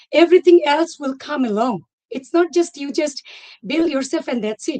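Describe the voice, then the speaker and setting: Using a non-native accent, a woman speaks at a high pitch and a moderate pace. Her intonation is lively, and the sound is dry and close with no echo. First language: not English. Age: 40s. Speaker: former teacher turned entrepreneur. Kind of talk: testimony. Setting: live online session.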